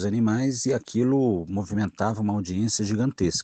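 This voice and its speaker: In a dry, close sound with no echo and a quiet background, a man with a dark, mellow tone speaks at a moderate pace, his fairly low pitch showing ordinary pitch variation. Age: 40s. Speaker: biologist. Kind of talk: recorded voice message answers to a discussion group.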